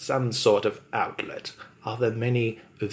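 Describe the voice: What you hear is a plain read-aloud delivery.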